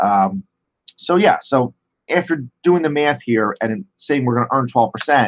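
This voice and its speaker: A man speaks at a medium pitch with lively intonation. The sound is dry and close, with no echo. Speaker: finance professor. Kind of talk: lecture. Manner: halting.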